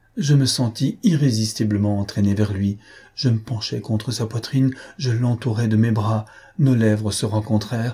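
The speaker is heard in plain reading aloud.

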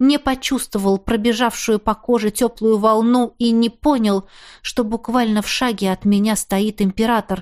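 Fairly even intonation in plain reading aloud

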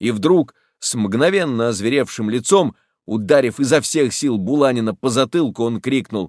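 Over a quiet background comes plain reading aloud with lively intonation.

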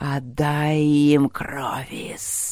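This put-on character voice hisses at a low-to-middle pitch with monotone, flat intonation. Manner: hissing.

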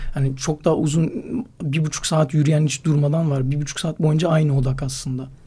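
With noticeable background noise, a man with a fairly high pitch speaks at a fairly quick pace in a monotone, flat delivery. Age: 20s. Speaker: slackline athlete and climber. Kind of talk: casual interview.

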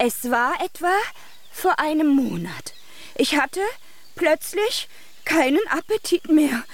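In a put-on character voice, the speaker goes at a slow pace with lively intonation. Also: woman, high pitch for a woman.

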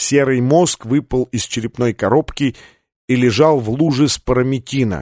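The background is quiet. The clip is plain reading aloud.

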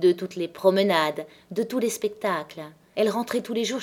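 With ordinary pitch variation, someone reads aloud plainly.

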